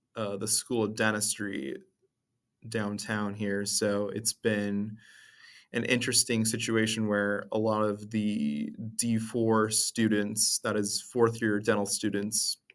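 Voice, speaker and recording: In a very clean recording with a silent background, a man talks very slowly at a fairly low pitch with a monotone, flat delivery. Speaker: student podcaster. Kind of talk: casual monologue podcast. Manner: halting, hesitant with fillers.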